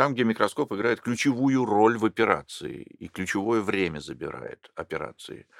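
A man speaking at medium pitch, with vocal fry and lively intonation, comes through dry and close with no echo on a very clean recording with a silent background. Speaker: plastic surgeon. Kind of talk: interview.

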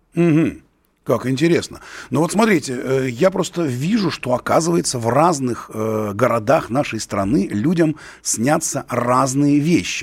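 Using a plain, everyday voice, a man with a fairly high pitch talks at a fairly slow pace with lively intonation. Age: 50s. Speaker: radio host and writer. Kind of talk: radio call-in show.

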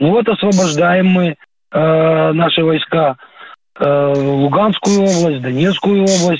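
Talking at a very slow pace, a man uses a high pitch with ordinary pitch variation. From Ukraine, Kyiv region. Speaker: retired warrant officer calling in. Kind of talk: radio phone-in call.

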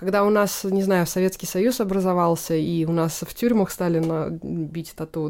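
A woman with an ordinary speaking voice talks at a moderate pace and a fairly low pitch. Her intonation is fairly even, and the recording is very clean with a silent background. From Tatarstan, Naberezhnye Chelny (Russia). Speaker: photographer. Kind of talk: casual chat.

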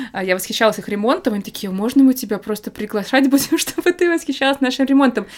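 A woman speaks at a high pitch and a very fast pace with lively intonation. Noticeable background noise sits behind her. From Moscow, Russia. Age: 30s. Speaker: film photographer. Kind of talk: casual interview chat.

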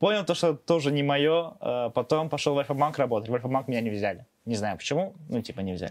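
Lively intonation marks this man's fairly high voice. He speaks at a very fast pace. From Azerbaijan. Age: 20s. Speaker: blogger. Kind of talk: casual interview chat.

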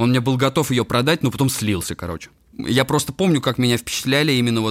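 A man talks fairly quickly, with ordinary pitch variation. The recording is very clean and the background silent. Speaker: electronic musician and sound designer. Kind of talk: casual interview chat. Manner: relaxed.

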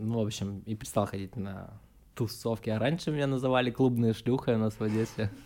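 Talking at a very fast pace, a man with medium pitch has a dark, mellow tone and fairly even intonation. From Ukraine, Odesa. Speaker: digital agency project manager. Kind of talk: casual chat.

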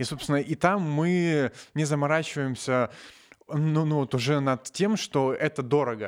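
Ordinary pitch variation and very even loudness, on a very clean recording with a silent background. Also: man, fairly high pitch for a man. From Novosibirsk, Russia. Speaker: nanotechnologist, science popularizer. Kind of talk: casual chat. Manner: halting, many fillers.

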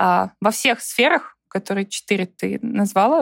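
Recorded with a dry, close sound and no echo, a woman speaks at a very slow pace. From Russia, Saint Petersburg. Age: 30s. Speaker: customer success manager and volunteer fundraising coordinator. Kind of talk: casual interview chat. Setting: video call.

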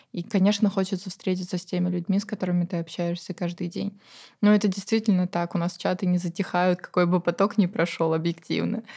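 At a very fast pace, a woman speaks in a somewhat breathy, dark and mellow tone with monotone, flat intonation, on a very clean recording with a silent background. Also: medium pitch for a woman. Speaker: course curator and channel author. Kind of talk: casual chat. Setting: studio.

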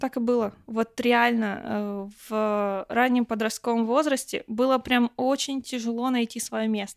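Her pitch sits fairly high for a woman. She talks at a fairly slow pace. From Russia, rural village. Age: 20s. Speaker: foreign language teacher. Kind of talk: casual chat. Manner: animated.

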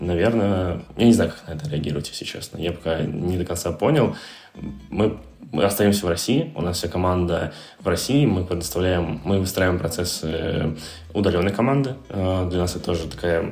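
Over music in the background and audible room echo, a man with a very deep, low voice speaks at a moderate pace with ordinary pitch variation and long, frequent pauses. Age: 20s. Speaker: co-founder of a digital marketing agency. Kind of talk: interview.

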